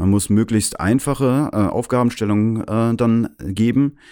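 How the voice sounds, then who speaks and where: A man with a dark, mellow tone speaks at a fairly low pitch and moderate pace with ordinary pitch variation, on a very clean recording with a silent background. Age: 40s. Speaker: AI consultant. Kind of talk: interview.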